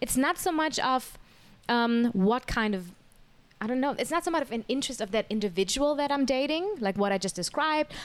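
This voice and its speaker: This speaker talks at a fairly quick pace with lively intonation and a German accent. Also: woman, high pitch for a woman. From Germany. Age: 30s. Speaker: podcast guest. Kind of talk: casual chat.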